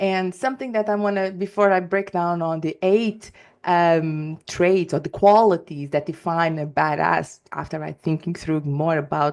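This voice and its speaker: Against a quiet background, a woman speaks in a Portuguese accent. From Portugal. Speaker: life and work coach, podcast host. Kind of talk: solo podcast monologue. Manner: energetic; halting, many fillers and restarts.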